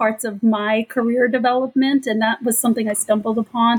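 A woman with an American accent speaks in a fairly high, somewhat breathy voice. Her intonation is monotone and flat. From Southern California. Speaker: lawyer and former prosecutor. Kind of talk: panel interview.

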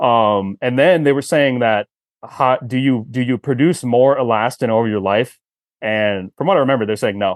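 Spoken at a moderate pace, this is an ordinary speaking voice with ordinary pitch variation. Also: man, medium pitch for a man. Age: 30s. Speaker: performance coach and tendon expert. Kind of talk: casual chat.

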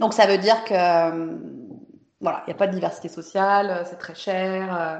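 Very slowly, a woman speaks at a fairly low pitch, her intonation fairly even but her loudness swinging widely. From France, Saint-Étienne near Lyon. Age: 40s. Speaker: software developer. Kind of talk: interview. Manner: casual, hesitant with fillers.

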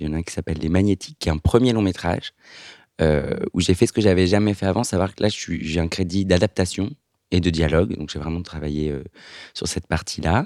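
Speaking at a fairly quick pace, a man with a very deep, low pitch and ordinary pitch variation comes through a very clean recording with a silent background and a dry, close sound with no echo. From France, Lyon. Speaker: screenwriter. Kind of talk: casual chat.

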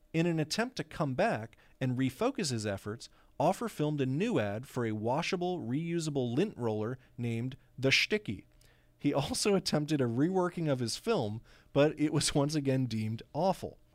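Lively intonation at a moderate pace from a man with a fairly high voice. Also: very clean recording, silent background. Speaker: podcast co-host. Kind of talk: casual chat. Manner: animated.

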